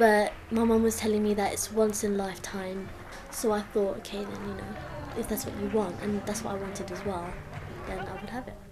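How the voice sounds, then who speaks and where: A woman speaks fairly quickly at medium pitch in a flat monotone, her loudness swinging widely. Crowd noise sits in the background, and room echo is audible. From England, London (from the Philippines as a young child). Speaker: student. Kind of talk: interview testimony. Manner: casual.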